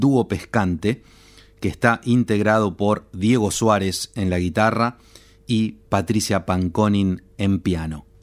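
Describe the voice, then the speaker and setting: A man talks fairly slowly in a normal speaking voice. His pitch is fairly low and his intonation fairly even. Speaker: radio host. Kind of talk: scripted narration.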